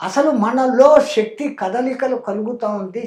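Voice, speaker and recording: His voice sits at an extremely high pitch for a man, its rise and fall following an ordinary pattern. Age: 80s+. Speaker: yogi. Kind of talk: interview answer.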